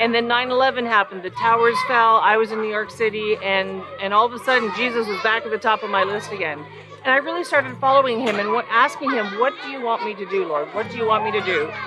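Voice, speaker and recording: Over music in the background, a woman at a fairly high pitch speaks at a very fast pace with ordinary pitch variation and hardly any pauses. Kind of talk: teaching talk. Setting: outdoors. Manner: loud.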